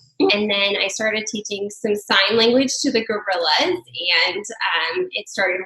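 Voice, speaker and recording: A woman with an American accent at a moderate pace, medium pitch and ordinary pitch variation, with noticeable background noise. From New Mexico, US. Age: 30s. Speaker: stay-at-home mother. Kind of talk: podcast interview. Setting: together in Albuquerque, remote podcast.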